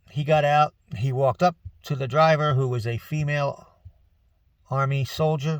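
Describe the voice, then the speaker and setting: Recorded with a dry, close sound and no echo, a somewhat breathy man with an American accent and a fairly high pitch talks at a moderate pace with ordinary pitch variation. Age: 60s. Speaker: retired military veteran and vlogger. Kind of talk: casual monologue vlog. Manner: conversational, folksy.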